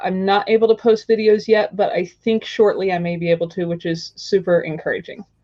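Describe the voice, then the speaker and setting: A woman at medium pitch, with an unremarkable speaking voice and an American accent, talks at a fairly quick pace with fairly even intonation and hardly any pauses. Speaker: tiny house video blogger. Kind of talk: interview.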